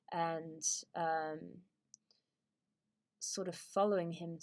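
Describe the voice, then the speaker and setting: Very slowly, a woman with a British accent speaks at a fairly low pitch in a very clean recording with a silent background. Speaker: YouTuber. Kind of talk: casual monologue. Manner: halting, many fillers.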